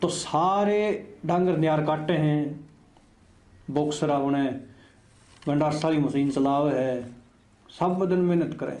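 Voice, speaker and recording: Using long, frequent pauses, a man with a Haryana accent speaks in a fairly high voice with a dark, mellow tone and fairly even intonation. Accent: Haryanvi. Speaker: book reviewer. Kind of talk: book review talk. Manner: casual, conversational.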